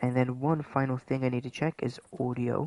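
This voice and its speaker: A soft-spoken man talks at a fairly slow pace with a medium pitch and fairly even intonation, the sound dry and close with no echo. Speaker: gaming streamer. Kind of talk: live gameplay stream chat. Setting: livestream at home late at night. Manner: softly spoken, keeping voice down.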